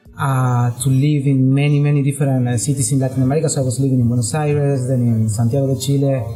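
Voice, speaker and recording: Music plays behind a man of medium pitch who talks very fast, with hardly any pauses, in a monotone, flat intonation at very even loudness. Room echo is audible. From Argentina (Cordoba). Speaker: startup CEO. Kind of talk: podcast interview. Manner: halting, many fillers.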